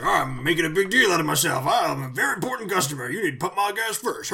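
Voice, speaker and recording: A man's high, put-on character voice at a very fast pace. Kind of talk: gruff, demanding. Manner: blustering, domineering.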